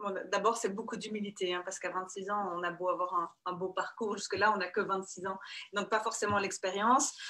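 A woman's monotone, flat delivery at a moderate pace over a quiet background. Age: 30s. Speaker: construction company CEO; guest. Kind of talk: interview. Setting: video call. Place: office. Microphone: video call.

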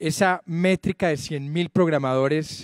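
Against a quiet background with dry sound and no echo, a man with a plain, everyday voice speaks at a fairly slow pace, his pitch fairly high and his intonation fairly even. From Colombia (Medellín); Colombia. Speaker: tech entrepreneur, digital bank founder. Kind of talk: formal speech at an event. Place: stage. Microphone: handheld.

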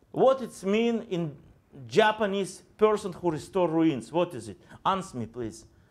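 Very slow delivery with very wide pitch swings and big swings in loudness. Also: man, high pitch for a man. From Israel. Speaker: pastor. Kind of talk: sermon. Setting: church. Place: church.

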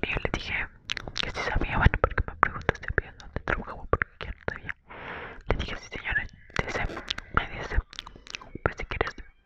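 The speaker whispers in a soft-spoken way at a fairly quick pace. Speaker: storyteller. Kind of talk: casual storytime vlog chat. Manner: soft inaudible whisper, close to mic. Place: home room. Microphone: earbuds.

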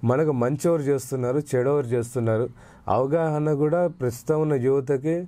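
A man's dark, mellow tone, with very even loudness and fairly even intonation. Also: fairly high pitch for a man. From Andhra Pradesh, Rayalaseema (Kadiri, Anantapur); Andhra Pradesh. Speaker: youth wing politician. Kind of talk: interview. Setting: studio. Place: studio. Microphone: lapel.

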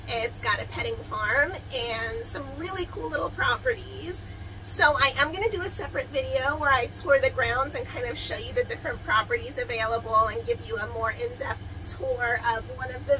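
Against noticeable background noise, a woman talks at a moderate pace with hardly any pauses. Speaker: travel vlogger. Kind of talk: casual vlog chat. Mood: cheerful, excited. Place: home room. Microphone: phone near.

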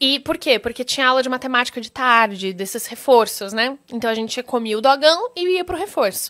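The tone is bright and sharp, with lively intonation. The speech moves at a fairly quick pace over a quiet background. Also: woman, high pitch for a woman, hardly any pauses. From Brazil. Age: 20s. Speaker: actress. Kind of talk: interview. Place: studio. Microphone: studio mic.

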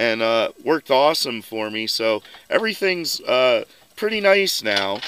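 A man speaks in a bright, sharp tone with ordinary pitch variation. The background is quiet and the sound is dry with no echo. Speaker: vehicle hobbyist vlogger. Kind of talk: casual vlog chat. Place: open country. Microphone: phone near.

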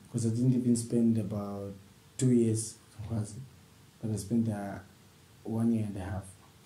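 A man speaks in a flat, monotone way with long, frequent pauses, and the room echo is audible. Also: medium pitch for a man, moderate pace. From Zambia. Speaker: professional footballer; interviewee. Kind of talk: interview. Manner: halting. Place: home room.

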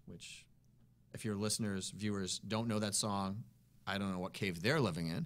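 A man with an American accent, fairly low in pitch, at a fairly quick pace. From Massachusetts (Worcester); Massachusetts. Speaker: blues musician; guest. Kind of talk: interview. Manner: fast; energetic. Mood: relaxed, enthusiastic storytelling. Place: studio. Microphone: studio mic.

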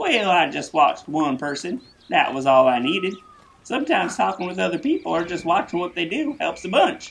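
A cartoonish character voice at a middle pitch, delivered at a fairly quick pace

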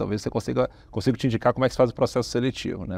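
A man speaks very fast at a medium pitch, with ordinary pitch variation and vocal fry. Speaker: tech company founder and CEO; interviewee. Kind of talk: business interview. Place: studio. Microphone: lapel.

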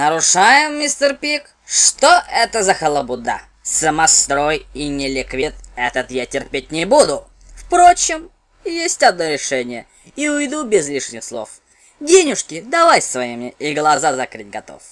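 Someone in a put-on character voice speaks at a middle pitch and a moderate pace. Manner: menacing, mocking.

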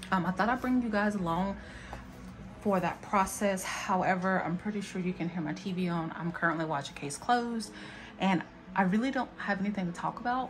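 Faint music plays in the background. A woman speaks at a fairly quick pace. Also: ordinary pitch variation. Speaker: planner vlogger. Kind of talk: casual vlog chat. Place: home room. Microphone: phone near.

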